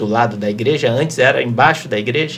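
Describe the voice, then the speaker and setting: A man talks at a moderate pace and medium pitch in a Carioca accent. The recording has noticeable background noise and audible room echo. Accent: Carioca (Rio de Janeiro). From Rio de Janeiro, Brazil. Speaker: lawyer. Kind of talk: casual interview.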